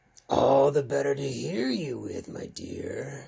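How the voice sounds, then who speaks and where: A raspy put-on character voice, low-to-middle in pitch, at a fairly slow pace. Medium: read story. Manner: sly, falsely sweet.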